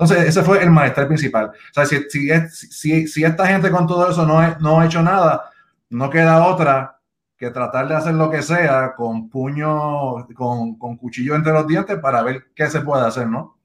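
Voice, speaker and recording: Fairly high in pitch with ordinary variation, a man speaks at a moderate pace. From Puerto Rico (Bayamón). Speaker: campaign strategist, organization co-founder. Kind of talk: interview on live video show. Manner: halting, many repetitions.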